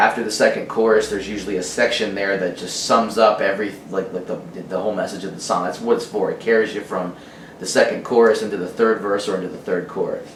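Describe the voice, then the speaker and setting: Speaking at a very fast pace, a man is heard with audible room echo. Noticeable background noise is also present. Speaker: musician. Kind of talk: casual interview. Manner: halting, stuttering.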